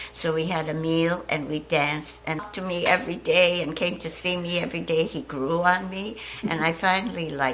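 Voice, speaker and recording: Through noticeable background noise and audible room echo, a woman talks at a moderate pace with a fairly low pitch and ordinary pitch variation. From Shanghai, China. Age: 80s+. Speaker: war survivor. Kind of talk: testimony.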